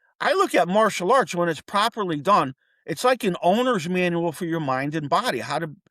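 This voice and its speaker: With a New England accent, a man speaks fairly quickly in a high, bright, sharp voice with lively intonation, captured in a very clean recording against a silent background. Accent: New England American. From US Northeast, Connecticut (Wethersfield). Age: 60s. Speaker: martial arts teacher. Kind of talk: podcast interview. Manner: casual, animated.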